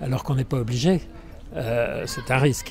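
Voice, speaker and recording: A medium-pitched man speaks over noticeable background noise. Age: 80s. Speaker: elderly interviewee. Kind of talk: street interview. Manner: halting, many fillers.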